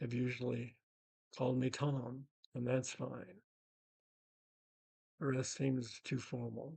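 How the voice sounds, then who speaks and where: A man with an American accent speaks at medium pitch, somewhat breathy, with fairly even intonation. His pace is very slow, broken by long, frequent pauses. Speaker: retired teacher, spiritual memoirist. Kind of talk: spoken memoir narration.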